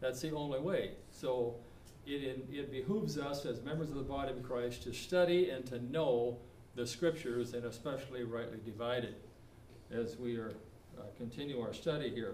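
A man talks at a moderate pace with ordinary pitch variation. Light background noise and audible room echo are present. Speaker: preacher. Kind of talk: sermon. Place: church. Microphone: camera far.

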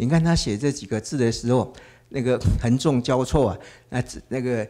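A man with a dark, mellow tone talks at a moderate pace with ordinary pitch variation. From Taiwan. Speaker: art professor and painter; art professor. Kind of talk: lecture. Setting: gallery with live audience. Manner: halting, many filler sounds. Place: hall. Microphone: handheld.

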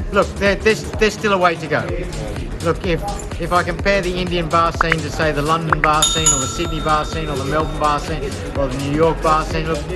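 Clear music plays behind the voice. A man talks fairly quickly. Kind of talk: interview answer. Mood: relaxed, humorous. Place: bar. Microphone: phone near.

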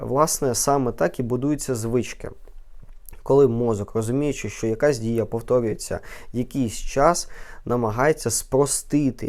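In a very clean recording with a silent background, a man with a normal speaking voice talks at a fairly slow pace, his medium pitch showing ordinary pitch variation. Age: 20s. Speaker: neurologist. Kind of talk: educational vlog talk.

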